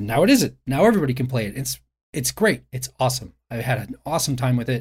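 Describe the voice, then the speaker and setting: A somewhat breathy man at a medium pitch, talking at a fairly quick pace. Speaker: video game journalist. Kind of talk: casual podcast discussion.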